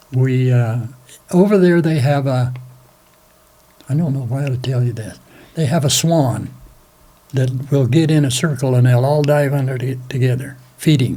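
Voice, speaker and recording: A man with an American accent speaks at a medium pitch and moderate pace, using fairly even intonation. Long, frequent pauses break his speech, and there is audible room echo. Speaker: war veteran. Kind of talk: interview, recounting memories. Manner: halting.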